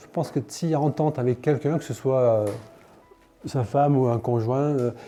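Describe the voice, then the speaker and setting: A man, medium in pitch with ordinary pitch variation, keeps a moderate pace while music plays in the background. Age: 60s. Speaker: patient. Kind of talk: testimony. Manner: casual, conversational.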